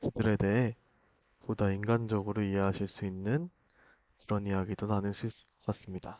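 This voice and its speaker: Fairly low-pitched male speech, moderately paced, with fairly even intonation. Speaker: YouTuber political commentator. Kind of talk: direct-to-camera monologue.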